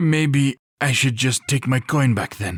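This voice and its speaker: In a put-on character voice, a man talks at a fairly slow pace with medium pitch and ordinary pitch variation, the sound dry and close with no echo. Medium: read story. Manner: whiny.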